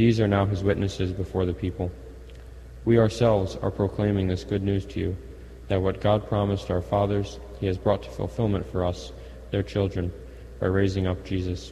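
A man speaks at a very deep, low pitch with vocal fry and a dark, mellow tone. His intonation is lively and his pace fairly quick. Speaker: Mass lector. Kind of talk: scripture reading aloud.

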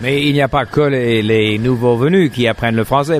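Here a man talks with an English accent. His voice has a medium pitch and ordinary pitch variation. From Montreal, Canada. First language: English (speaking French). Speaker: podcast host. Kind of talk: casual chat. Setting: cafe. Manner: halting, frequent repetitions.

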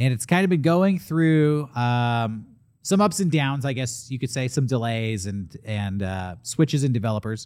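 A normal speaking voice from a man in an American accent, medium-pitched with lively intonation at a moderate pace, on a very clean recording with a silent background. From San Diego, California. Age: 30s. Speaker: podcast host. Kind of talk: casual chat; sales pitch.

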